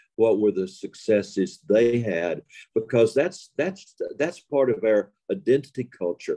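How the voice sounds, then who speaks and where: With an Appalachian accent, a man talks at a fairly slow pace and medium pitch, his dark, mellow tone and lively intonation caught in a dry, close sound with no echo. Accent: Appalachian Southern US. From Western North Carolina. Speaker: storyteller. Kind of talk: interview.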